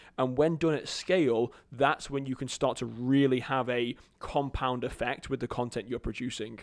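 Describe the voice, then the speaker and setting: A man with an English accent at medium pitch, moderate pace and fairly even intonation, hardly any pauses, on a very clean recording with a silent background. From England. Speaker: marketing agency CEO. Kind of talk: casual interview chat.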